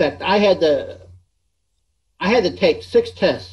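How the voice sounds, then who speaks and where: Words come from a man at a very slow pace. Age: 70s. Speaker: full-time RV traveler and YouTuber. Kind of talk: interview.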